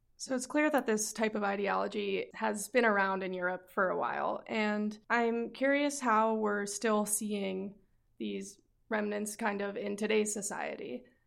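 A woman with an unremarkable speaking voice and a medium pitch talks at a fairly slow pace. Her intonation stays fairly even. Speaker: student podcast host. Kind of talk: interview.

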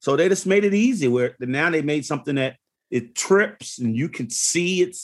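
In a quiet background, a man with an American accent speaks at a moderate pace. His pitch is fairly high, and his intonation is lively. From Philadelphia, Pennsylvania. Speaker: community nonprofit founder and electrician. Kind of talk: casual interview conversation. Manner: halting, frequent repetitions.

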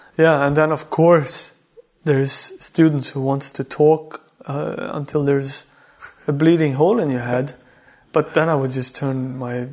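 This man speaks with a Swedish accent. His pitch is fairly high, with fairly even intonation. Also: fairly slow pace. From Sweden (Värmland). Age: 30s. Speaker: artist. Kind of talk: casual chat.

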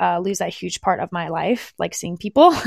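This is an unremarkable speaking voice with an American accent. The pace is moderate. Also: woman. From United States. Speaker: dance fitness instructor. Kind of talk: casual interview chat.

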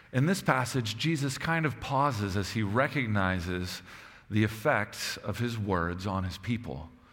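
A man speaks with lively intonation. Room echo is audible. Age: 30s. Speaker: pastor. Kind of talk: sermon.

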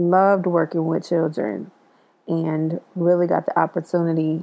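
A woman speaks in a plain, everyday voice at a fairly low pitch. Her intonation is fairly even, and her pace is fairly slow. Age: 40s. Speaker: educator sharing personal story. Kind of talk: personal storytelling monologue.

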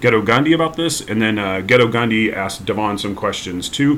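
Medium in pitch, this man's voice is a plain, everyday voice. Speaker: podcast host introducing episode. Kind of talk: scripted intro.

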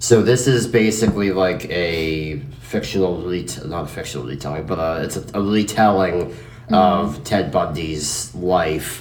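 A man's very deep, low voice at a moderate pace, lively in intonation and swinging widely in loudness, against noticeable background noise. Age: 20s. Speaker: podcast host. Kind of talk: casual chat. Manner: animated.

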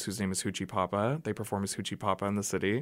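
Recorded very cleanly against a silent background, a man with fairly low pitch speaks in an American accent with flat, monotone intonation. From Oklahoma. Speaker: drag performer. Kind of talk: casual interview. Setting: radio studio.

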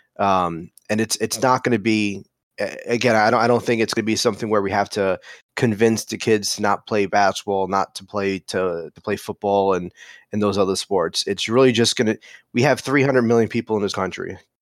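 A man with an unremarkable speaking voice, fairly low in pitch, fairly quick and fairly even in intonation, on a very clean recording with a silent background and a dry, close sound with no echo. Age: 30s. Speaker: fan channel founder. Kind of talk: podcast interview.

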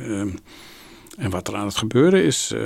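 Vocal fry runs through this man's voice. He keeps to a moderate pace. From Amsterdam, Netherlands. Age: 70s. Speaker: Jesuit priest and spiritual director. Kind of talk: interview. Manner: hesitant.

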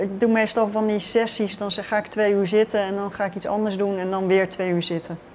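A woman speaks at a fairly quick pace with hardly any pauses. Her medium-pitched voice stays monotone, with flat intonation. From Netherlands, Rotterdam. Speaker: writer. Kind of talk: interview.

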